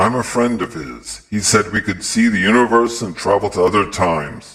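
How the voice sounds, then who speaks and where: Using a put-on character voice, a man speaks at a moderate pace and a fairly low pitch, with ordinary pitch variation. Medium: read story. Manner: blunt, straightforward.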